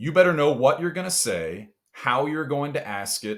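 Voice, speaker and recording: With a Texas accent and vocal fry, a man talks at a moderate pace, his pitch swinging very widely, on a very clean recording with a silent background. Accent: Southern US (Texas). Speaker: sports TV host. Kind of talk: podcast interview answer.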